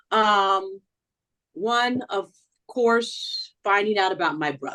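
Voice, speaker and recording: The woman's voice sits at a medium pitch. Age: 60s. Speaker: reality show contestant. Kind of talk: interview.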